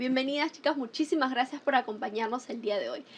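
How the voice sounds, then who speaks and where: Her voice sits high for a woman. The pitch moves in an ordinary way. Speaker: talk show host. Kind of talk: panel interview.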